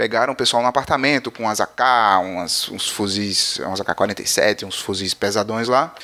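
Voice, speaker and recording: A man speaks with a bright, sharp tone. His pace is moderate and his pitch variation ordinary. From Paraíba, northeastern Brazil. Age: 30s. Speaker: podcast host. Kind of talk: news podcast, casual monologue. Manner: animated.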